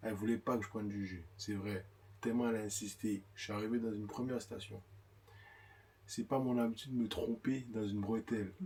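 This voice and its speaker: A man speaks at a fairly quick pace, his voice somewhat breathy with a dark, mellow tone. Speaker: vlogger's husband. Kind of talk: casual chat. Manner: animated.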